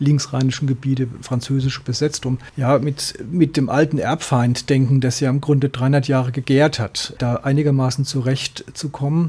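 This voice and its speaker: With a dark, mellow tone, a man speaks somewhat breathily at medium pitch and a moderate pace, his intonation monotone and flat, with hardly any pauses. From Ludwigshafen and Mannheim, Kurpfalz region, southwestern Germany. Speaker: author and teacher trainer. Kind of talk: radio interview. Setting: radio studio.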